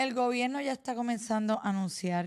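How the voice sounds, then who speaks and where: Someone with a Puerto Rican accent speaks with ordinary pitch variation in a very clean recording with a silent background. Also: woman. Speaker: news podcast host. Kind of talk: news commentary.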